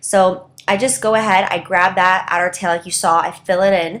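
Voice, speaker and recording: The woman has an unremarkable speaking voice at a medium pitch. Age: young. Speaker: professional makeup artist. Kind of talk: makeup tutorial talk to camera. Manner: upbeat, chatty.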